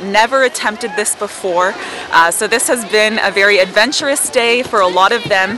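At a moderate pace, a woman talks with a dry sound with no echo amid noticeable background noise. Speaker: activities instructor acting as reporter. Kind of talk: news-style report. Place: open country. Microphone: handheld.

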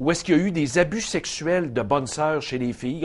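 The pitch varies in an ordinary way. A man delivers it at a fairly quick speed. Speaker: TV show host. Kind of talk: commentary. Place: studio. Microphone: lapel.

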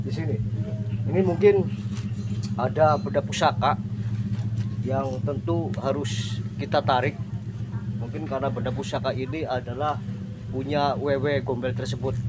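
The speech moves at a moderate pace with ordinary pitch variation and long, frequent pauses, against loud background noise. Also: man. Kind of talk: explanation to camera, paranormal investigation. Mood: earnest, calm. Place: garden.

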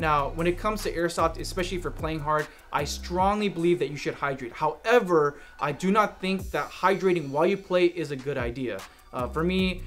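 With faint music in the background, a high-pitched man talks at a fairly quick pace with ordinary pitch variation. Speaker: airsoft gear reviewer. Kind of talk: gear review talk to camera. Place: studio.

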